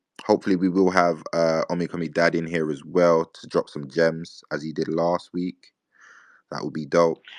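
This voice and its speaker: Over a quiet background, a man with a British accent speaks in a very deep, low pitch with monotone, flat intonation and big swings in loudness, the sound dry and close with no echo. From UK. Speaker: crypto community space host. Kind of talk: casual chat. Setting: online audio space. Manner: fast.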